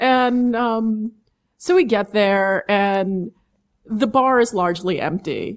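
A woman with an American accent speaks at a very slow pace. Her pitch varies in an ordinary way. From New York, Manhattan and Long Island. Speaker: sideshow performer, sword swallower. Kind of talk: interview storytelling. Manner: animated.

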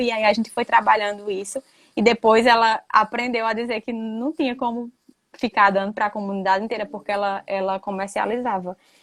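At a fairly quick pace, a woman talks in a plain, everyday voice, fairly high in pitch with fairly even intonation, the sound dry and close with no echo. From Brazilian Northeast, Rio Grande do Norte backlands. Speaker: university professor. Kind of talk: online live talk, interview. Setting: live stream.

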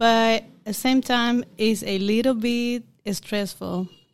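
A woman in a Caribbean accent, fairly high in pitch, monotone and flat, at a very slow pace. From Dominica. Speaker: doctor, host's wife. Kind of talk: casual chat.

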